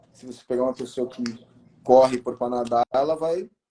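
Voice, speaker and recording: The tone is dark and mellow, the intonation fairly even and the pace fairly quick. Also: man. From São Paulo state interior, Brazil. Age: 40s. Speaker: martial arts instructor. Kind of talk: interview. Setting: livestream.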